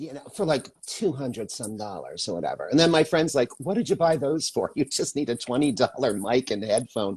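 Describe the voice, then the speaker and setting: A man's fairly high, somewhat breathy voice, fairly quick with hardly any pauses and very wide pitch swings. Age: 60s. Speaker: actor, filmmaker and makeup artist. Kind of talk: casual chat. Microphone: cheap headset mic.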